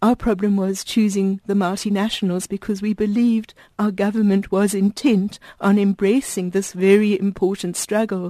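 A woman's dark, mellow voice at medium pitch, monotone and flat, at a moderate pace, dry and close with no echo against a quiet background. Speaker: support group director. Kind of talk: radio interview. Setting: studio.

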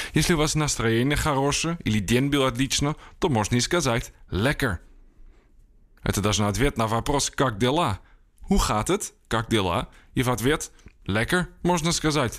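A man with a Dutch accent at medium pitch, very even in loudness, lively in intonation, with long, frequent pauses on a very clean recording with a silent background. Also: moderate pace. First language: Dutch (speaking Ukrainian). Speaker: journalist and writer. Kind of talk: language lesson.

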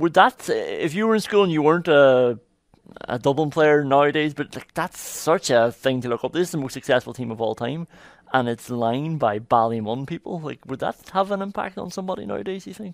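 A man with an ordinary speaking voice talks fairly quickly at a fairly high pitch, with big swings in loudness. The sound is dry and close, with no echo. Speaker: podcast host. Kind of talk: casual interview chat.

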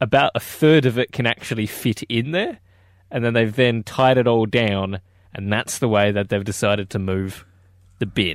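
Medium-pitched male voice with an Australian accent and ordinary pitch variation, on a very clean recording with a silent background. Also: moderate pace. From Perth, Australia. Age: 20s. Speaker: radio host. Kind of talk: breakfast radio banter.

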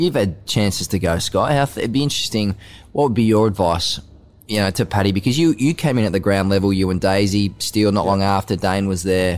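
A man with an Australian accent speaks at a fairly quick pace in a fairly low voice, his loudness very even. Pitch varies in an ordinary way, and the recording is very clean with a silent background. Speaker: sports podcast host. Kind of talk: casual interview chat.

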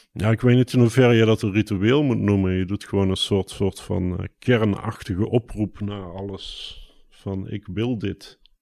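A man's fairly low, dark and mellow voice at a fairly slow pace, with fairly even intonation and hardly any pauses, in a very clean recording with a silent background and a dry, close sound with no echo. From southern Netherlands, Brabant (Mierlo). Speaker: poet and designer. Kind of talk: casual interview. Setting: outdoors overlooking a bulb field.

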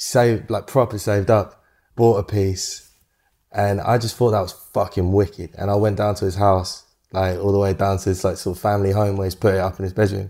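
In a very clean recording with a silent background, a man speaks with a dark, mellow tone and monotone, flat intonation. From UK. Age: 20s. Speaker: photographer. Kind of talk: interview.

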